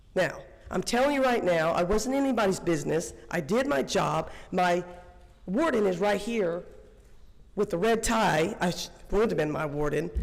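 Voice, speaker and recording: Lively intonation from a woman at medium pitch and moderate pace, with very even loudness, long, frequent pauses and audible room echo. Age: 60s. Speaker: public commenter, former corrections officer. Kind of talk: public comment at board meeting. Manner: animated.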